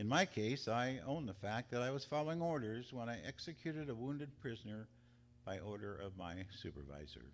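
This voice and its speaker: Speaking fast-ish, a man with an American accent holds a medium pitch. His pitch swings very widely. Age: 70s. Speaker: war veteran. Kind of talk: reading aloud.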